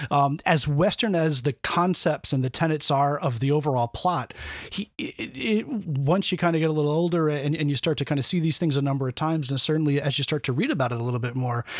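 A very fast man's voice, fairly high in pitch with ordinary variation. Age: 40s. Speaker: film enthusiast, podcast guest. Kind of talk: casual chat. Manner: halting, many repeated words.

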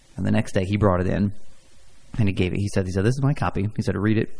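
A man talks at a very fast pace with a Midwestern American accent. His voice sits fairly low, with a dark, mellow tone. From Indiana, Fort Wayne. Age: 30s. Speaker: podcast host. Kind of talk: casual chat.

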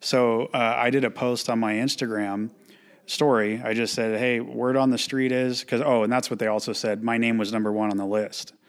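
A man with an American accent, medium in pitch, at a moderate pace and in a flat monotone. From Lucerne Valley, Southern California high desert. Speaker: gym owner. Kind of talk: casual interview chat.

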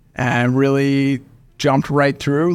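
Fairly high-pitched man with an American accent, an ordinary speaking voice and fairly even intonation, in a very clean recording with a silent background. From Oklahoma. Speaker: venture capital investor. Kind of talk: interview.

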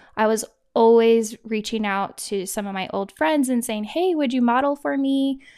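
In a very clean recording with a silent background, a woman with an ordinary speaking voice and an American accent talks at a fairly slow pace, her fairly high pitch showing ordinary variation. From Kansas. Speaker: photographer and teacher. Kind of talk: casual interview.

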